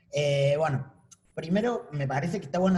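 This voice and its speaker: The voice has a dark, mellow tone and is somewhat breathy. It moves at a fairly quick pace with lively intonation. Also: man. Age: 30s. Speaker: artist. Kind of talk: panel talk.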